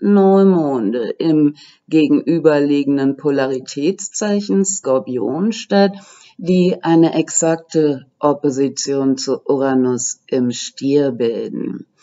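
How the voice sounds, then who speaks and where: Very slowly, a woman talks with lively intonation. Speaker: astrology YouTuber. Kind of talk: lecture. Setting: home recording for video.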